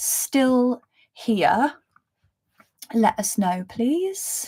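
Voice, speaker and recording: A woman speaks very slowly with a London accent, her tone dark and mellow and somewhat breathy. The recording is very clean, with a silent background. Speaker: spiritual reader and mentor. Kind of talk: live stream reading chat. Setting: live stream with chat. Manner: casual, filler-heavy.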